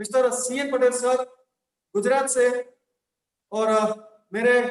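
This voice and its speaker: With a Gujarati accent, a man speaks in a flat monotone at an extremely high pitch. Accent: Gujarati-accented Hindi. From Gujarat, India. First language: Gujarati (speaking Hindi). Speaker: network marketing trainer. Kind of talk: motivational training talk. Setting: online session via link.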